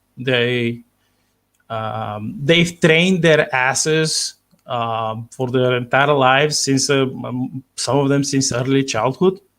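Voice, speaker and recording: A man speaks very slowly in a Bulgarian accent. His pitch is medium, with ordinary variation. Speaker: sci-fi author. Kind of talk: interview. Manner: halting, many fillers.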